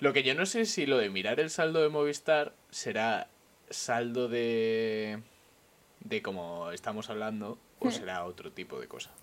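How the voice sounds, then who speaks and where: In an ordinary speaking voice, a man speaks fairly slowly at a medium pitch, with lively intonation and big swings in loudness. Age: 20s. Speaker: podcast co-host. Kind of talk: casual chat. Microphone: new microphone.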